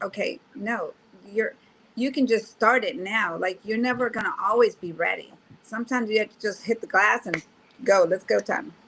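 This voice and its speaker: Against noticeable background noise, a woman with an American accent speaks at a fairly high pitch with ordinary pitch variation and big swings in loudness. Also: moderate pace. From Texas, Houston East End. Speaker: interviewee. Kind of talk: interview.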